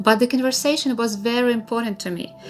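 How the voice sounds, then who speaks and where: A voice with a Russian accent over music in the background. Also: woman. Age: 30s. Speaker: lifestyle vlogger. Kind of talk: personal story narration.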